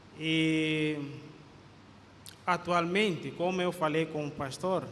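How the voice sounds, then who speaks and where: Audible room echo surrounds a man's voice. He talks very slowly, with fairly even intonation. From Guinea-Bissau. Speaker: pastor. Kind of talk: sermon. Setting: church. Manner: halting, frequent fillers.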